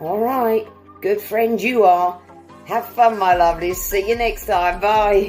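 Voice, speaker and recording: A woman with a British accent and medium pitch, an upbeat tone, a very slow pace, and music in the background. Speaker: English teacher. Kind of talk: language lesson to camera. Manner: upbeat, friendly.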